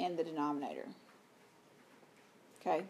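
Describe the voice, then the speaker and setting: A woman talks in a Southern US accent. Her tone is dark and mellow, her pace moderate. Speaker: high school math teacher. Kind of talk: lecture.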